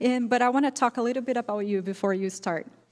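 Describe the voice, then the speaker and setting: On a very clean recording with a silent background, a woman with a non-native accent speaks at a fairly high pitch with ordinary pitch variation. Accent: non-native accent, self-noted. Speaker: event moderator. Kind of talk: speaker introduction.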